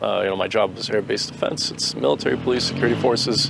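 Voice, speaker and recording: A man rattles along at a very fast pace through noticeable background noise. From Boston, Massachusetts. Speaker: war veteran. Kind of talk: interview answers. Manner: hesitant, many fillers.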